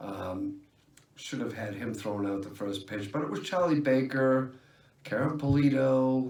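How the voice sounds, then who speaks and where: A man talks at a fairly slow pace. Audible room echo and noticeable background noise surround him. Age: 50s. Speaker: vlogger. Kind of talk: casual vlog monologue. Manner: halting, many fillers.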